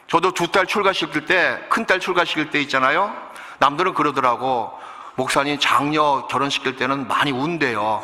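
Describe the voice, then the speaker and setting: Noticeable background noise behind a man's fairly high voice, very even in loudness, at a moderate pace and with ordinary pitch variation. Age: 60s. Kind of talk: sermon. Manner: animated.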